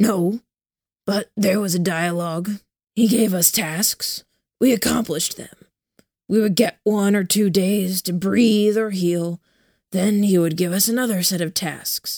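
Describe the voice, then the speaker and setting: In a put-on character voice, a woman speaks gruff and gravelly at a medium pitch, with fairly even intonation, a moderate pace and long, frequent pauses, in a dry, close sound with no echo. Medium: read story. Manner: terse, gruff.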